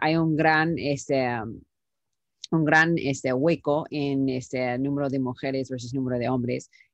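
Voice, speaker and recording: Speaking with an English accent, a woman keeps a fairly slow pace and ordinary pitch variation. Her sound is dry with no echo over a quiet background. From United States. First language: English (speaking Spanish). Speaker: startup founder and CEO; interview guest. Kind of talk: interview. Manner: halting, many fillers. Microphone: video call.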